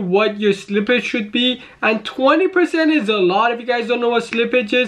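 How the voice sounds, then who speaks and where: Behind the man's speech, the background is quiet. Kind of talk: commentary. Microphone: webcam.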